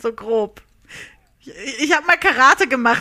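A woman with a high pitch and a bright, sharp tone speaks at a moderate pace. Her pitch swings very widely. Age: 30s. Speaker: PR and social media worker, quiz contestant. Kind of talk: recorded game-show answers.

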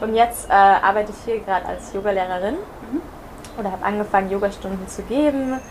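Through noticeable background noise, a woman talks very fast at a medium pitch with ordinary pitch variation. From Germany. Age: 20s. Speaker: yoga teacher. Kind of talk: casual interview. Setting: in person on Mallorca.

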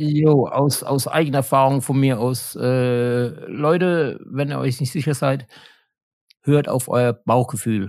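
On a very clean recording with a silent background, a man speaks very slowly at a medium pitch with fairly even intonation. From Germany, Mannheim. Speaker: guitarist and sound engineer in a band. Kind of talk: casual interview.

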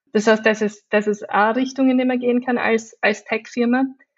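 The speech has an Austrian accent and monotone, flat intonation. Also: woman. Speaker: digital designer and climate activist. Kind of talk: interview.

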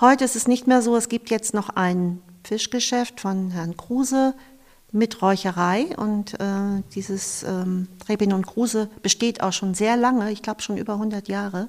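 This woman has a plain, everyday voice, fairly high in pitch, with fairly even intonation at a fairly slow pace. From northern Germany, Eckernförde (Schleswig-Holstein). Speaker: museum volunteer and graphic designer. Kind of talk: interview. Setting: on location in an old fish smokehouse.

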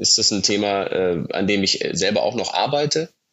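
The pace here stays moderate. It is an unremarkable speaking voice. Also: man. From Germany, Munich (Bavaria). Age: 30s. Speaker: startup founder. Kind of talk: interview.

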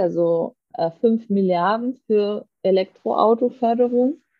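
In a plain, everyday voice, a woman speaks at a medium pitch with fairly even intonation. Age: 30s. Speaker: politician. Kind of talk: interview.

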